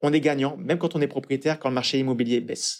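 This man talks at a very fast pace. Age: 40s. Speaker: financial advisor. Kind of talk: interview. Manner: hesitant.

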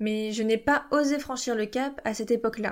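Over a silent background in a very clean recording, a woman with a fairly high pitch and an ordinary speaking voice talks at a moderate pace with ordinary pitch variation. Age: 20s. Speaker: podcast host, parenting coach. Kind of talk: solo podcast monologue.

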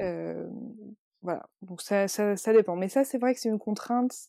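The recording is very clean with a silent background and a dry, close sound with no echo. A woman speaks at a medium pitch and a fairly slow pace in a dark, mellow tone. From rural France. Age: 30s. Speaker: magazine editor. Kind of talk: interview. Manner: halting, many fillers and repetitions.

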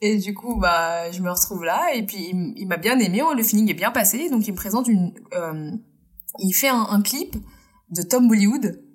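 Somewhat breathy and pitched in the middle range, a woman talks at a moderate pace with lively intonation. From France, Indian family. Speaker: costume dresser. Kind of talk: casual interview chat.

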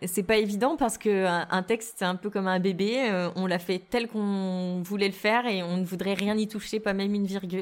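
An unremarkable speaking voice moves at a moderate pace with fairly even intonation and hardly any pauses, on a very clean recording with a silent background. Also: woman, medium pitch for a woman. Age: 30s. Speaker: novelist. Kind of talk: interview.

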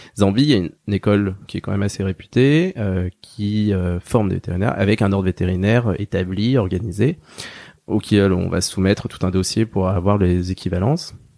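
This man's voice sits fairly low, with a dark, mellow tone. He talks at a fairly quick clip. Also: ordinary pitch variation, very clean recording, silent background. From rural France. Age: 30s. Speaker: veterinarian. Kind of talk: interview. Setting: small room at his clinic. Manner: hesitant, many fillers.

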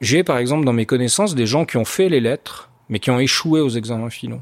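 Here a man talks at a moderate pace with a medium pitch and ordinary pitch variation. He has a normal speaking voice. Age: 40s. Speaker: entrepreneur, former army officer. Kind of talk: interview.

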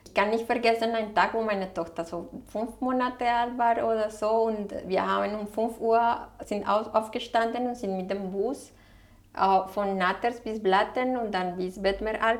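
A woman speaks with a Spanish accent at a medium pitch. Her pace is fairly slow and her intonation fairly even. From Colombia, Bogotá. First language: Spanish (speaking German). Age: 40s. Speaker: waste management advisor. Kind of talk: interview. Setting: restaurant.

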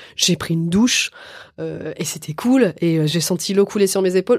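Speech proceeds at a moderate speed. The pitch shifts in an ordinary manner. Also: woman. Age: 40s. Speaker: actress and author. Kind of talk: casual chat. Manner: halting.

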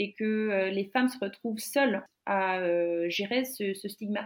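A woman talks at a fairly high pitch. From Finland. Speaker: graduate student interviewee. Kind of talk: casual interview. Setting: online call from home. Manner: halting, many fillers and repetitions.

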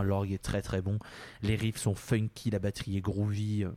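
A man's fairly low voice comes across with a dark, mellow tone. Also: very clean recording, silent background. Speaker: podcast host. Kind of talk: casual chat.

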